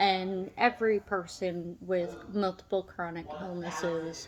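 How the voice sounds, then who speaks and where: Words come very slowly while noticeable background noise carries on. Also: woman. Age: 30s. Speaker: vlogger with chronic illness. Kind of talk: personal vlog. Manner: halting.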